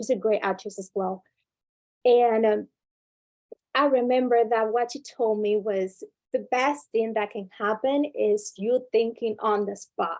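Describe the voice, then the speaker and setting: Speech comes at a fairly slow pace. It carries a non-native accent. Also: woman, fairly high pitch for a woman, fairly even intonation. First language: not English. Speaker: workshop speaker, former student leader. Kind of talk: workshop talk.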